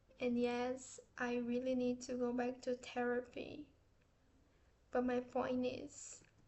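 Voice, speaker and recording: Speaking very slowly, a woman with a Portuguese accent uses a high pitch. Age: 30s. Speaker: artist and vlogger. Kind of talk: casual vlog aside; scripted vlog reading.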